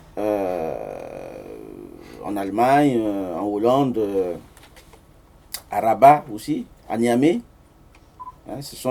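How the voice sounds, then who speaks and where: Amid noticeable background noise, a man with a Central African accent speaks very slowly in a fairly low voice with ordinary pitch variation. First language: Sango (speaking French). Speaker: author and amateur linguist, engineer. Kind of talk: book presentation talk with slides. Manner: hesitant, many fillers.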